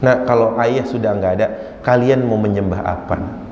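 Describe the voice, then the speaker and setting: There is audible room echo as a man speaks. Noticeable background noise can be heard too. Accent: Jakarta. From Jakarta, Indonesia (Betawi). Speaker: Islamic preacher. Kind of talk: religious lecture. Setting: mosque with audience. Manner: conversational, addresses audience.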